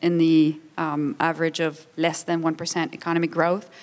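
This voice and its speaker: A woman talks with a Quebec accent. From Quebec, Montreal. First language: French. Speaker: international organization official, panelist. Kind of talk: conference panel talk.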